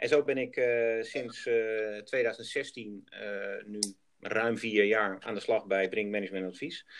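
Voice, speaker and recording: Speaking very slowly, this man holds a medium pitch with fairly even intonation. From Netherlands, Groningen. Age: 40s. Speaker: project developer. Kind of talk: business interview. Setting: outdoors on site.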